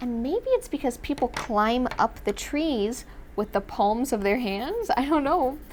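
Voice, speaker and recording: A woman's animated, high-pitched voice with very wide pitch swings. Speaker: kids' drawing teacher. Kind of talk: children's drawing tutorial. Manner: fast.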